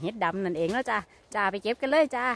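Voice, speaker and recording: Lively intonation marks a woman's speech. The sound is dry with no echo. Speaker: mushroom forager vlogger. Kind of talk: casual vlog chat. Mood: cheerful, chatty. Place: forest. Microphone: phone near.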